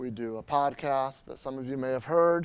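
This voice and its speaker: The man's voice rests at a medium pitch with ordinary pitch variation. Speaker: Drupal trainer and conference presenter. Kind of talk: conference talk with live demo. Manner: fast.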